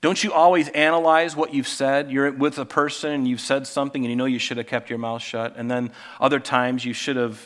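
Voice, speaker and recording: An unremarkable speaking voice from a male speaker, medium in pitch, fairly quick, and ordinary in pitch variation. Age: 50s. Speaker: pastor. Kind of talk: sermon.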